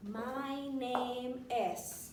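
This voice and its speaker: Audible room echo colors the clip. Noticeable background noise is present too. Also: woman. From Venezuela. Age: 30s. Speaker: French teacher. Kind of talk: language lesson.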